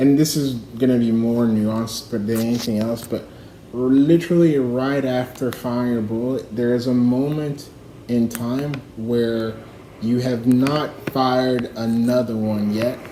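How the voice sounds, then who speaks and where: Amid noticeable background noise and audible room echo, a man talks fairly slowly at a medium pitch with fairly even intonation. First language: not English. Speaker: livestreamer. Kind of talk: casual rambling monologue. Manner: halting, many fillers.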